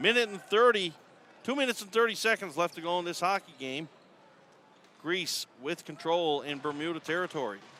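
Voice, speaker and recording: The voice is bright and sharp, moving at a fairly quick pace with lively intonation and big swings in loudness. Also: man, high pitch for a man. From Newfoundland, Canada. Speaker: sports play-by-play commentator. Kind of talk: live commentary. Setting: arena, top of the stands. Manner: animated.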